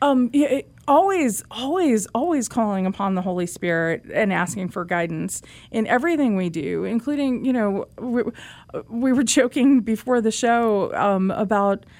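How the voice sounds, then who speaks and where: With an American accent, a woman talks at a moderate pace in an unremarkable speaking voice, fairly high-pitched with lively intonation, over a very clean recording with a silent background. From US Northeast, Manhattan. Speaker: journalist and author. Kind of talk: interview.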